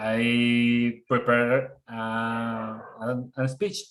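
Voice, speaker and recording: A man with a Colombian accent speaks at a very slow pace and medium pitch. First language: Spanish. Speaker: filmmaker and bird photographer. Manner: halting.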